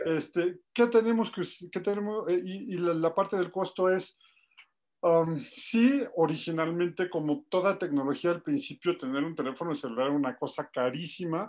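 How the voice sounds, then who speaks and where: On a very clean recording with a silent background, a man with a Mexican accent speaks at a high pitch. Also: lively intonation. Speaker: energy expert. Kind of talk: panel discussion. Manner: fast.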